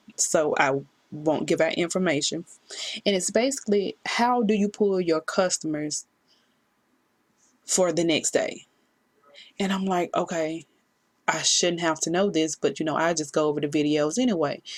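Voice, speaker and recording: A woman with a fairly low pitch and ordinary pitch variation speaks at a moderate pace, leaving long, frequent pauses. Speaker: work-from-home vlogger. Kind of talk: casual vlog talk to camera. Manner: halting, hesitant.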